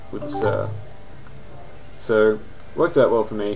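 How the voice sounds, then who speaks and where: A man speaks with an Australian accent. Music plays in the background. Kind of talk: casual game commentary. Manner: casual, hesitant.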